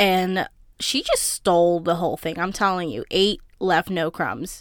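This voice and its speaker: Animated female voice at medium pitch in a very clean recording with a silent background. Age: 20s. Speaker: podcast host. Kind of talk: casual solo podcast recap. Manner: animated, casual with fillers.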